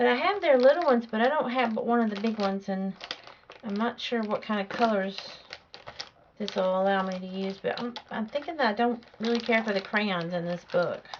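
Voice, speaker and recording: Against noticeable background noise, a woman with a Southern US accent talks at a fairly quick pace in a fairly high pitch. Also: ordinary pitch variation. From US South. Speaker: art instructor. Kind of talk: tutorial. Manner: casual, hesitant with fillers.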